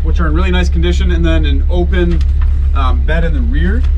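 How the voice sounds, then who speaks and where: Very deep, low male voice at a fairly quick pace, with music in the background. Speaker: presenter. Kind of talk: test drive commentary. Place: car. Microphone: camera far.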